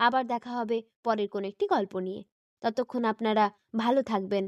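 Someone is reading aloud in a natural voice, with a quiet background behind.

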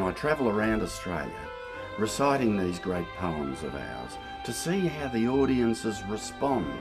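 A man's voice with very wide pitch swings over clear music in the background. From Australia. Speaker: bush poetry reciter. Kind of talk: interview answer. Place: garden.

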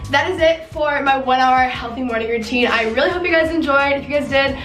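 Faint music plays in the background and there is audible room echo as a woman talks at a very fast pace in a high pitch with ordinary pitch variation. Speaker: beauty vlogger. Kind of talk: casual vlog chat. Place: home room.

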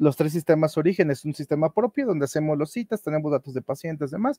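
A man's fairly high-pitched voice, dark and mellow in tone, at a fairly quick pace with ordinary pitch variation, dry with no echo, over a quiet background. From Mexico. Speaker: data and business intelligence lead at a health organization. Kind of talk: conference talk. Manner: halting, with frequent fillers and repetitions. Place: home room.

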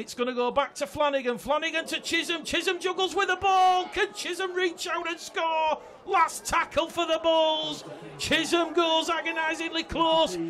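A man's raised, projected voice at an extremely high pitch, fairly even in intonation, over crowd noise in the background. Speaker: sports commentator. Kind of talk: live rugby league match commentary. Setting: broadcast commentary on a match.

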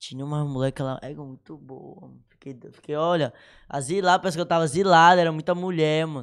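Fairly quick and fairly high in pitch, a man with an unremarkable speaking voice talks with fairly even intonation and big swings in loudness over a quiet background. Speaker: social media influencer; podcast guest. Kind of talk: casual chat. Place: studio. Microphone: studio mic.

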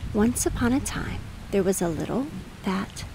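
There is noticeable background noise in the clip. Through it, a woman talks with lively intonation. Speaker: audiobook narrator. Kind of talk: soothing bedtime storybook reading aloud over rain sounds. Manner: slow, hushed, gently lulling delivery; softly expressive, lightly voicing squirrel dialogue.

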